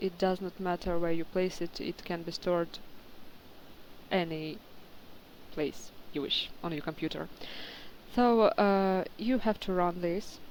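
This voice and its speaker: A woman speaks with a non-native accent at a fairly slow pace. Her pitch is medium and her intonation fairly even. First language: not English. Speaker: game modder. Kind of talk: tutorial. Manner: halting, many fillers.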